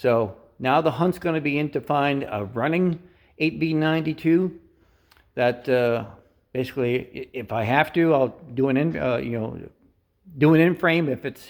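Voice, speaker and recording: A man with a fairly high pitch talks at a moderate pace, pausing long and often, his pitch varying in an ordinary way. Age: 60s. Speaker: truck mechanic and driver youtuber. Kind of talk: casual video tutorial. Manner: halting, many fillers.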